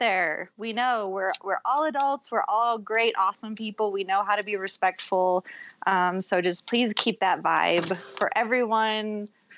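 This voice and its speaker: Using a normal speaking voice, a woman talks at a moderate pace with fairly high pitch, ordinary pitch variation, and hardly any pauses. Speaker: co-host of a Star Trek podcast. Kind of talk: casual chat.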